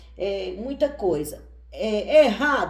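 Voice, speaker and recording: Her intonation lively, a woman speaks at a fairly high pitch with a dark, mellow tone. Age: 60s. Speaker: tarot reader and witch. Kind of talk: casual chat.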